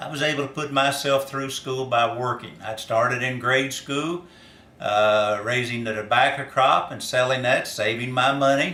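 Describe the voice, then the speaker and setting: A man with a Kentucky accent talks at a medium pitch with fairly even intonation, and the room echo is audible. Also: moderate pace. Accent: Kentucky Southern US. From US South, northern Kentucky. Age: 60s. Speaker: farmer and former reality show contestant. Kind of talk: casting application video monologue. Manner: hesitant with frequent fillers.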